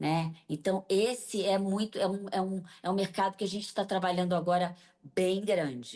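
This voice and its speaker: Dark and mellow in tone, a woman's medium-pitched voice moves at a moderate pace with ordinary pitch variation. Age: 60s. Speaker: business association leader. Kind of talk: TV interview.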